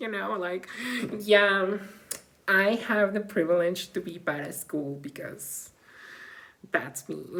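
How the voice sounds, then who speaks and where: With a non-native accent, a woman speaks very slowly at a medium pitch, using lively intonation. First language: not English. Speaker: vlogger; graduate student in humanities. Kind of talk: personal vlog monologue.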